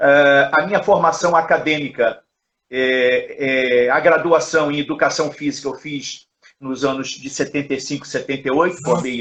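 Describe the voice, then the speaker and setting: A man with a normal speaking voice speaks at a moderate pace, pitched fairly high, with fairly even intonation but big swings in loudness. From Rio de Janeiro, Brazil. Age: 60s. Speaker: judo coach and professor. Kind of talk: interview, life story. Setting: Instagram live video call.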